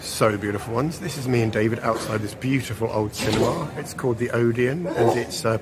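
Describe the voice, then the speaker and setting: A man with an English accent talks at a fairly quick pace, at medium pitch with ordinary pitch variation and hardly any pauses. Audible room echo and noticeable background noise surround him. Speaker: vlogger. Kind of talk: casual travel vlog.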